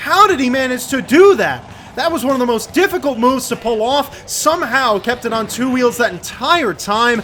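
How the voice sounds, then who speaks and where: With noticeable background noise behind him, a man speaks at an extremely high pitch, his tone energetic and excited and his intonation lively. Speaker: sports commentator. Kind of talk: play-by-play sports commentary. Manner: energetic, excited.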